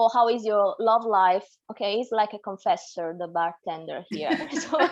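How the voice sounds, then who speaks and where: The speaker has an Italian accent and a moderate pace. The intonation is lively. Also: woman, fairly high pitch for a woman. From Naples, Italy. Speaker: tour guide. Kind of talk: interview answer.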